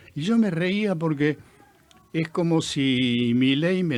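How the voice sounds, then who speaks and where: A man with an Argentine accent and lively intonation, at a very slow pace. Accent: Argentine Spanish (Rioplatense). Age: 80s+. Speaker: film director. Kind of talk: radio interview.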